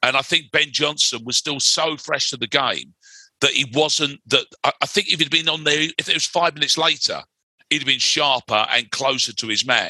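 Bright and sharp in tone, a man speaks with a London accent at a fairly high pitch and fairly even intonation. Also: moderate pace, dry, close sound with no echo. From West London. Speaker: writer and broadcaster. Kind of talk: casual chat.

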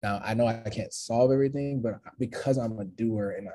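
A man's dark, mellow tone sounds somewhat breathy, his intonation fairly even. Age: 30s. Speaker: motivational speaker. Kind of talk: casual chat.

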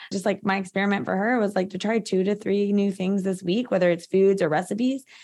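A woman talks at a fairly quick pace in a normal speaking voice of medium pitch. The recording is very clean, with a silent background. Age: 30s. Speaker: functional medicine practitioner. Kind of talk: interview. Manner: casual, filler-heavy.

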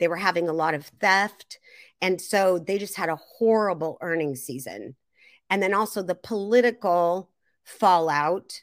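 An unremarkable speaking voice with an American accent goes at a fairly slow pace in a very clean recording with a silent background. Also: woman. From US Pacific Northwest, Seattle area. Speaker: retail investor and trader. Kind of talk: interview.

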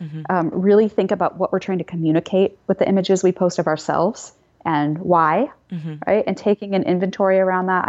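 A woman talks at a fairly quick pace in a normal speaking voice, her medium pitch rising and falling in an ordinary way. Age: 40s. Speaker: psychology professor. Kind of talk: interview.

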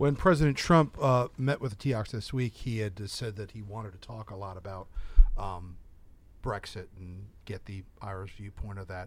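Delivered at a moderate pace with big swings in loudness, a man's unremarkable speaking voice sits at a fairly low pitch. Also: ordinary pitch variation. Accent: American. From United States. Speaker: TV journalist and podcast host. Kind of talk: interview. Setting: studio.

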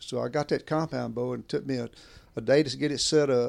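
A man with a Southern US accent speaks at a fairly high pitch. The recording is very clean, with a silent background. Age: 70s. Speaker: veteran bowhunter. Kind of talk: casual chat. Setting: at home.

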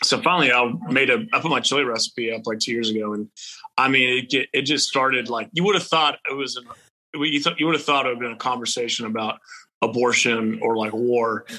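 A man speaks with a Texan accent at a fairly quick pace. His pitch is medium, with ordinary pitch variation. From Texas. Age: 30s. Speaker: country musician. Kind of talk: casual interview chat.

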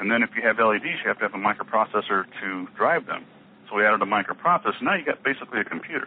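Through noticeable background noise, a man with a medium-pitched voice talks at a very fast pace with lively intonation. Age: 50s. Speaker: inventor and company founder. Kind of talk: interview.

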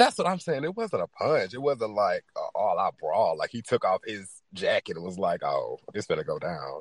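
A man talks at a moderate speed. The recording is dry and close, without echo. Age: 20s. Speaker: podcast host. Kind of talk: casual chat. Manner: animated.

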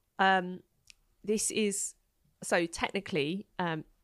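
A British accent in a very clean recording with a silent background, dry and close with no echo. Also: woman. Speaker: contraception platform founder. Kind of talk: casual interview chat.

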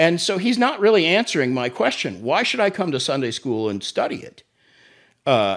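With an American accent, a man speaks at a fairly quick pace, his voice making very wide pitch swings. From Oklahoma City. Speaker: pastor and ministry executive. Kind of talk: testimony.

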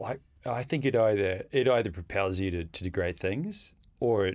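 A man with an Australian accent, fairly low in pitch with ordinary pitch variation, at a moderate pace. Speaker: freediver. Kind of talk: casual interview.

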